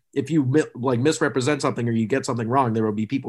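In a very clean recording with a silent background, a man with an American accent has an unremarkable speaking voice, medium pitch and ordinary pitch variation. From Massachusetts, Boston area. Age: 20s. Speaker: sports writer. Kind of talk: casual chat.

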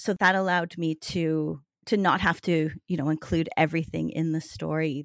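Speaking at a moderate pace, a woman has a very deep, low pitch and fairly even intonation. The recording is very clean, with a silent background. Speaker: novelist. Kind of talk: interview.

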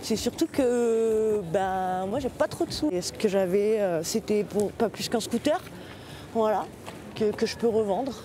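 Very slow delivery with long, frequent pauses and ordinary pitch variation. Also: woman, fairly high pitch for a woman. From southern France, Marseille. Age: 30s. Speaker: seasonal worker. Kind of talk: casual interview.

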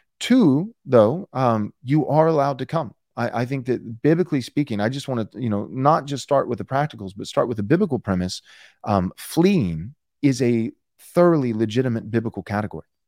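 This man has an ordinary speaking voice with an American accent, a medium pitch and lively intonation, at a fairly quick pace. The sound is dry and close with no echo, in a very clean recording with a silent background. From Texas. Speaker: pastor and author. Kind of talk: interview.

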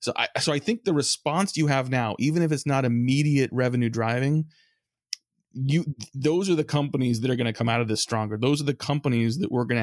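A man with a plain, everyday voice speaks at a fairly quick pace with an American accent, a medium pitch and ordinary pitch variation. The recording is very clean, with a silent background and a dry, close sound with no echo. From US West Coast (San Francisco Bay Area). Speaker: marketing agency founder. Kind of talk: interview.

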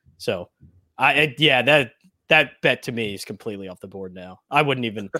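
A man with an American accent, bright, sharp tone, vocal fry, and a fairly quick pace. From Philadelphia. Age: 40s. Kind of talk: casual banter.

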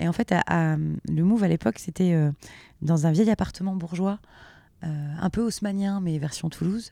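Here a woman speaks in a relaxed tone at fairly low pitch, with ordinary pitch variation and a moderate pace. The sound is dry and close with no echo, in a very clean recording with a silent background. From eastern and southwestern France (Meuse, Gers). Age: 30s. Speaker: radio and TV presenter. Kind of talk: interview. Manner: natural and relaxed, laughs often.

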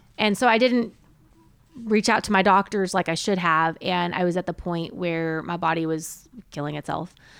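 With an American accent, a woman speaks at a moderate pace in a plain, everyday voice of fairly low pitch and ordinary pitch variation, in a very clean recording with a silent background. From Southern California. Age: 40s. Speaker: HR professional. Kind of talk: casual chat.

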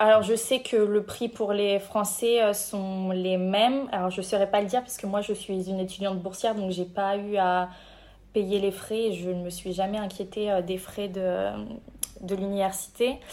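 Monotone and flat, a woman speaks at a medium pitch and a fairly slow pace. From France, Cognac. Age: 20s. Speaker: intern and master's student. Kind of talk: interview.

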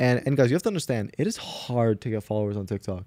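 Here a man talks at a very fast pace in a medium pitch. The sound is dry and close, with no echo. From Canada. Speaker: podcast host. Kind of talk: casual chat.

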